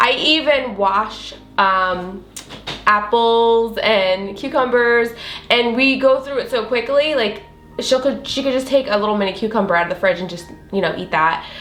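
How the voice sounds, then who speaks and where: With an American accent, a woman speaks at a fairly high pitch and a moderate pace. Her pitch varies in an ordinary way, and room echo is audible. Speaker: food vlogger. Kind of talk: cooking tutorial. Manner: casual, filler-heavy.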